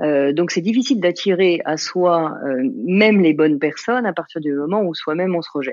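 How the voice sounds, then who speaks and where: A woman speaks at a moderate pace, her pitch fairly low. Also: ordinary pitch variation. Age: 50s. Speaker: life coach and author. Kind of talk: interview. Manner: halting, many fillers.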